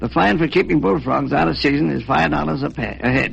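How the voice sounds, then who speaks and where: A man's fairly low voice with vocal fry, very wide pitch swings and a fairly quick pace. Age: 70s. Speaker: animal dealer. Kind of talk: radio interview.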